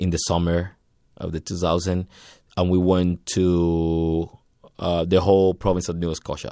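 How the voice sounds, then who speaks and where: With a very deep, low pitch and a dark, mellow tone, a man speaks in a monotone, flat delivery. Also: very clean recording, silent background. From Cuba, Havana. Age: 30s. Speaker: musician. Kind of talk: interview.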